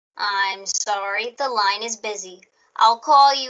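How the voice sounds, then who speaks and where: A woman puts on a character voice with a fairly high pitch. She speaks at a fairly slow pace. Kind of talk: 1940s radio acting. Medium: audio drama. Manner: flat, formal, detached.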